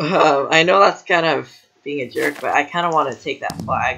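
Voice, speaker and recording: A man speaks at a fairly slow pace. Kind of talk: casual gameplay commentary.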